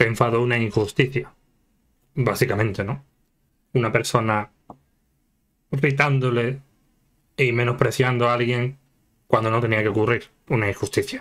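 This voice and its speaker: At a moderate pace, a speaker with a Spanish accent talks with long, frequent pauses. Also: man, medium pitch for a man. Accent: Peninsular Spanish. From Spain. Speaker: YouTube anime reactor. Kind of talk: casual reaction commentary. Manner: animated, laughing often. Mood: jokey, animated. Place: home room.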